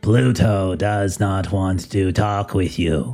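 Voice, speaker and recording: Faint music plays in the background as a man uses a put-on character voice at a fairly low pitch and a very slow pace. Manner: dismissive.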